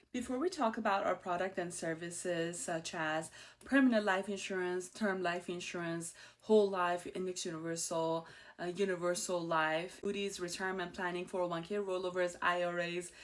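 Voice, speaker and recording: With an Iranian accent, a woman speaks at a moderate pace in a fairly low pitch, her intonation fairly even. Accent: Iranian (Persian). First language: Persian. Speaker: insurance agent and show host. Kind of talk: personal story monologue. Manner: casual, with fillers.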